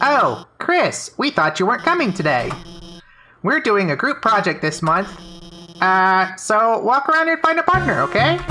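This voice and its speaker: In a put-on character voice with a fairly high pitch, the speaker swings very widely in pitch and leaves long, frequent pauses. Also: moderate pace. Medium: game stream. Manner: nervous, halting.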